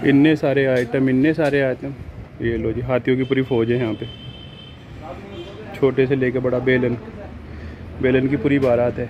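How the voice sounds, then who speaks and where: Light background noise sits behind a man speaking at a fairly slow pace. His intonation is monotone and flat, with long, frequent pauses. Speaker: travel vlogger. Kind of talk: casual vlog chat. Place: shop. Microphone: phone near.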